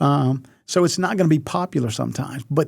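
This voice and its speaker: A man with an American accent speaks at a moderate pace, his medium pitch swinging very widely. His voice is somewhat breathy, and the recording is very clean with a silent background. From US South. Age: 60s. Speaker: retired athletics director. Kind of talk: podcast interview. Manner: halting, many fillers.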